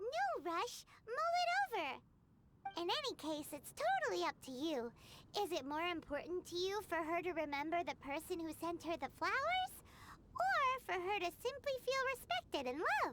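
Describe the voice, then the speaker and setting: Someone does a put-on character voice at an extremely high pitch, moving at a moderate pace. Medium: video game. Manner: blunt, lively.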